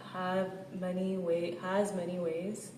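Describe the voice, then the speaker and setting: The speech moves at a very slow pace with monotone, flat intonation. Noticeable background noise runs underneath. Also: woman. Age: 30s. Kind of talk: personal reflective talk to camera.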